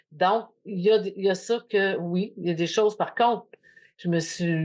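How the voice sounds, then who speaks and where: Against a quiet background, a woman talks in an ordinary speaking voice. She goes at a fairly slow pace with ordinary pitch variation. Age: 60s. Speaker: podcast host. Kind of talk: casual chat.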